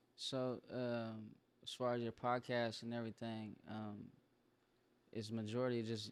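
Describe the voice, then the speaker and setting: At a fairly slow pace, a man talks in a medium pitch with monotone, flat intonation and long, frequent pauses. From Sacramento, California. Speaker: rapper. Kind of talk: casual interview chat.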